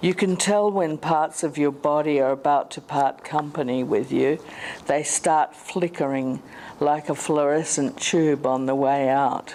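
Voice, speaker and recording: With an Australian accent, a woman speaks at a fairly slow pace and a very deep, low pitch over noticeable background noise. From South Australia. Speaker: conference speaker living with motor neurone disease. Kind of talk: conference talk. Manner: slowed, sometimes slurred speech; halting.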